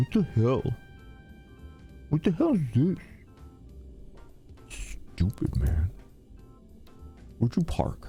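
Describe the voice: A gruff, put-on character voice at a low-to-middle pitch moves at a fairly slow pace with long, frequent pauses. Clear music plays in the background.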